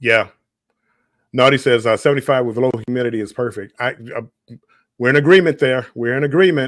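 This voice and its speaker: Speaking at a fairly quick pace in a Southern US accent, the voice shows ordinary pitch variation but breaks into long, frequent pauses. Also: man, medium pitch for a man. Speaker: live stream host. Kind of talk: casual chat. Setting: live stream. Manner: halting.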